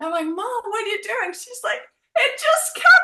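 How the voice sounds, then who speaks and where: A woman's raised, projected voice, extremely high in pitch and bright and sharp in tone, with lively intonation at a fairly slow pace. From Denmark. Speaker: relationship coach and psychotherapist. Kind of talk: podcast interview.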